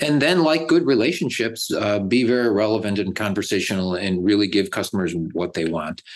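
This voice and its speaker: A man with an American accent has an ordinary speaking voice at a fairly low pitch, with lively intonation. He goes at a fairly quick pace with hardly any pauses. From Buffalo, New York, US. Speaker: tech company executive. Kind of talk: interview.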